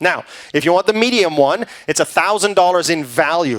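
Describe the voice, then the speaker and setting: A man's fairly high voice with lively intonation, in a dry, close sound with no echo. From Canada. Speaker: cruise sales presenter. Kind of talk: sales pitch. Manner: fast.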